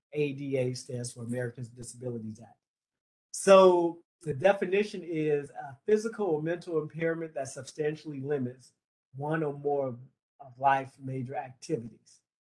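A plain, everyday voice belongs to this man, pitched fairly high, with ordinary pitch variation. His loudness swings a lot while he keeps a moderate pace. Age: 50s. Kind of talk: training lecture. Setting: video call from office. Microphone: video call.

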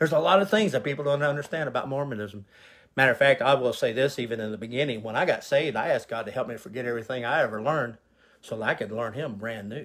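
A man speaks fast at a medium pitch, his fairly bright tone carrying a slightly husky edge and ordinary pitch variation.

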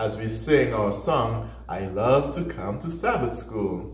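There is audible room echo as the man talks. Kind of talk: children's lesson talk. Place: studio.

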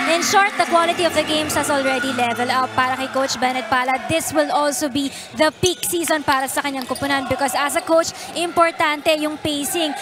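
Over noticeable background noise, a woman speaks at a very fast pace in a high pitch with fairly even intonation. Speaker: sideline reporter. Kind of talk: sports news report.

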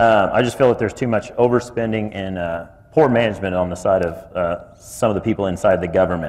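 A man with a Midwestern American accent, very fast, fairly low-pitched, with fairly even intonation. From Kansas. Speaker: city commission candidate. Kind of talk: candidate forum statement.

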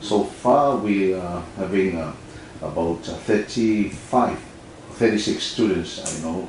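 Over light background noise and audible room echo, a man speaks very slowly in a fairly low pitch with ordinary pitch variation. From Tuvalu. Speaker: ambassador. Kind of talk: interview. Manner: halting. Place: studio.

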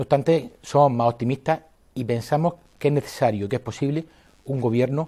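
Against a quiet background, a man with a dark, mellow tone talks at a fairly quick pace with fairly even intonation. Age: 30s. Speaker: mayoral candidate; candidate. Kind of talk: TV interview. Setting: TV studio. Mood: earnest, persuasive political talk. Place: studio. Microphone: lapel.

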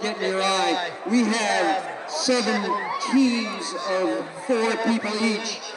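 A man at a very slow pace with ordinary pitch variation, crowd noise behind him. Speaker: meet announcer. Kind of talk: commentary. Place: stadium.

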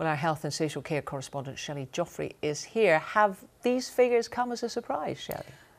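With a Scottish accent, a woman speaks at a fairly quick pace with a fairly low pitch and very wide pitch swings. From Scotland. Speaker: news presenter. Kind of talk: news reading. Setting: studio. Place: studio. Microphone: lapel.

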